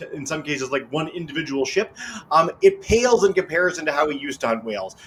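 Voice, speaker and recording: A man with a fairly high pitch talks very fast in an animated tone against noticeable background noise. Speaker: educational webcast host. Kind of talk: educational interview.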